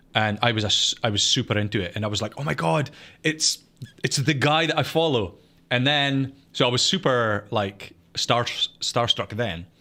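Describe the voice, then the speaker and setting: A man with a Scottish accent, medium pitch, a bright, sharp tone, lively intonation and a moderate pace, in a very clean recording with a silent background. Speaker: podcast co-host and gaming content creator. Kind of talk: casual chat. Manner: halting, many false starts.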